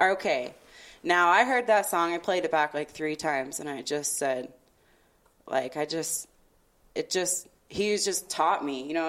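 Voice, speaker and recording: A woman speaks at a moderate pace in a normal speaking voice, fairly low in pitch. Her pitch varies in an ordinary way. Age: 30s. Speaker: events marketing consultant and hip hop blogger. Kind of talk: casual chat.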